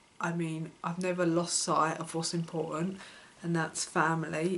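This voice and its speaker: A woman speaks at a fairly low pitch with flat, monotone intonation. There is noticeable background noise. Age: 20s. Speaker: vlogger sharing personal life. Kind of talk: personal vlog monologue. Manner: halting, with many fillers.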